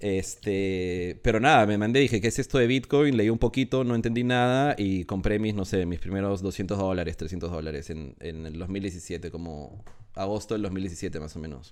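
In a very clean recording with a silent background, a man speaks in a plain, everyday voice at a fairly low pitch. He moves at a moderate pace with lively intonation and hardly any pauses. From Peru. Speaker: NFT project founder. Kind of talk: casual interview.

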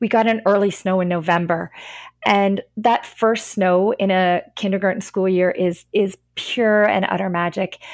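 A woman's medium-pitched voice, a normal speaking voice, with a Canadian accent, fairly even intonation, very even loudness and a fairly slow pace. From Northern Ontario, Canada. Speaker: kindergarten and grade one French immersion teacher. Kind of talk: podcast interview.

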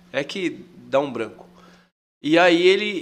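With lively intonation and a high pitch, a man speaks amid audible room echo. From Mato Grosso, Brazil. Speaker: tour guide. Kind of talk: casual chat.

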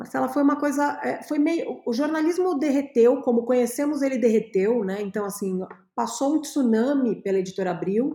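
Her tone is dark and mellow, set at a fairly high pitch, and her intonation is lively. The woman speaks at a moderate pace. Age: 40s. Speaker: creativity and innovation consultant. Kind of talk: interview.

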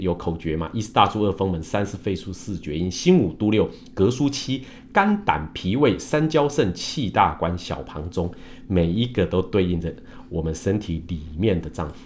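At a moderate pace, a man with a very deep, low pitch talks with lively intonation. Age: 50s. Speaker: Chinese medicine doctor and engineer. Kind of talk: livestream talk. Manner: many filler sounds.

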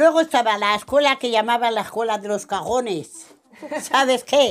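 Music plays in the background behind a woman. Her pitch is high and her intonation lively. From Spain, Ciudad Rodrigo (Salamanca). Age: 90s. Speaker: retired elderly resident. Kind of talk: recorded life-story interview.

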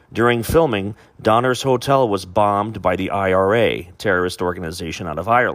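With an ordinary speaking voice, a man talks at a fairly quick pace, his fairly low pitch carried by lively intonation. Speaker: podcast host. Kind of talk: casual chat.

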